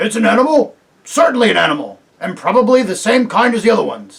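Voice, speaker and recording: A put-on character voice rattles along at a very fast pace in a fairly high pitch. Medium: read story. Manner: blunt, indignant.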